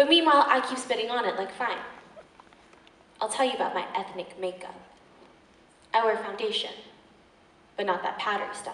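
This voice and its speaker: Amid audible room echo, a woman with fairly high pitch speaks in an intense tone at a fairly quick pace, broken by long, frequent pauses. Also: ordinary pitch variation. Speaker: slam poet performer. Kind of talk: slam poetry performance. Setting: live stage. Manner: fierce, intense. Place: stage.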